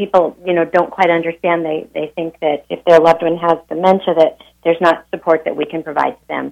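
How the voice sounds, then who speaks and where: A normal speaking voice with an American accent, a fairly quick pace and big swings in loudness. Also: woman. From Montana. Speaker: nonprofit executive director. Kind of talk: radio interview. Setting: phone call.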